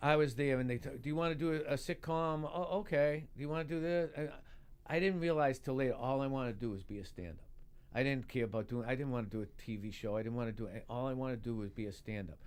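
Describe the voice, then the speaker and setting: A man with a Boston accent talks very fast at a medium pitch, his intonation lively. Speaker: stand-up comedian. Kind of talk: casual talk show chat. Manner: halting, repeats words.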